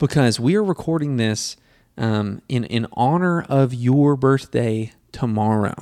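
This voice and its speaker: Over a very clean recording with a silent background, a man speaks at a medium pitch with a dark, mellow tone and ordinary pitch variation. His pace is fairly slow and his loudness very even. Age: 20s. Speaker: podcast host. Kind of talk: casual chat.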